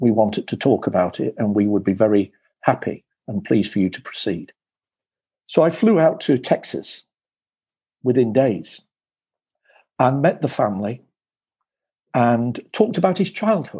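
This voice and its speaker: Against a quiet background, a man with a British accent speaks at a moderate pace in a medium pitch and a dark, mellow tone, with very wide pitch swings and long, frequent pauses. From England. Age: 60s. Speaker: former broadcasting executive and author. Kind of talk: interview storytelling.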